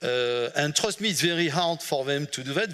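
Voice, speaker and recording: A man with a French accent speaks at a moderate pace in a fairly high pitch, with ordinary pitch variation. His tone is bright and sharp, on a very clean recording with a silent background. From France. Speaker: management consultant. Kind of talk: conference talk. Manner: halting, many fillers.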